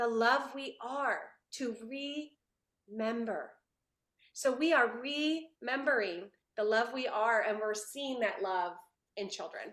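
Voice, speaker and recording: Pitched fairly high, a woman speaks at a very slow pace with long, frequent pauses. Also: ordinary pitch variation. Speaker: parent educator and company founder. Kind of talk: talk to a video meeting.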